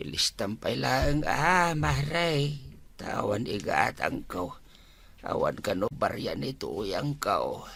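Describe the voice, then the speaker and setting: In a raspy, put-on character voice, a man talks at a very slow pace. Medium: comedy sketch. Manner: feeble, plaintive.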